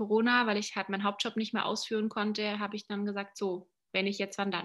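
Speaking fairly quickly, a woman with a fairly high voice and a bright, sharp tone is heard in a very clean recording with a silent background. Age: 30s. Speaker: life and business coach. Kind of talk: casual interview.

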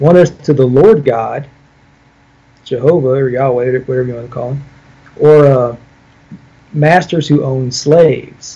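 With long, frequent pauses and big swings in loudness, a man speaks at a fairly slow pace in a somewhat breathy, dark, mellow tone with ordinary pitch variation. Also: medium pitch for a man. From US Midwest, Illinois. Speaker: pastor. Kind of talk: theological debate.

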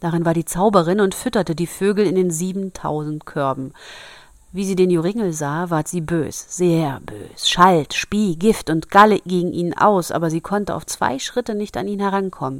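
This woman's voice sits fairly low in pitch and rises and falls in an ordinary way. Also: moderate pace. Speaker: podcast host reading fairy tales. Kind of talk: reading aloud; casual chat. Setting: home bedroom.

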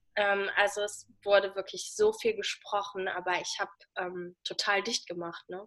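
A woman talks fairly slowly in a flat, monotone voice with hardly any pauses. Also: medium pitch for a woman. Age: 20s. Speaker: person living with diabetes, social media creator. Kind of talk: interview, casual chat.

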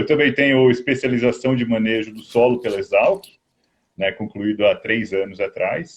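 A man uses a normal speaking voice, medium in pitch, at a fairly slow pace. His loudness swings a lot. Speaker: agronomist. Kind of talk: interview. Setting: video call on a mobile phone. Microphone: phone, video freezing.

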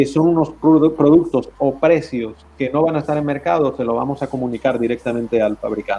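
A man's fairly high voice with a dark, mellow tone and fairly even intonation. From Spain, Valencia. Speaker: trade chamber president. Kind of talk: interview. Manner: halting.

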